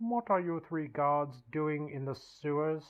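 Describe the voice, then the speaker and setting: At a fairly slow pace, the speaker uses a put-on character voice at a middle pitch. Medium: solo performance. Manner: suspicious, imperious.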